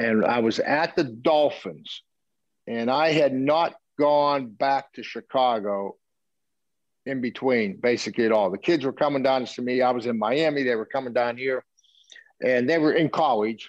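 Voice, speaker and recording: A man's medium-pitched voice with long, frequent pauses against a quiet background. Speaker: football coach. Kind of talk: interview storytelling.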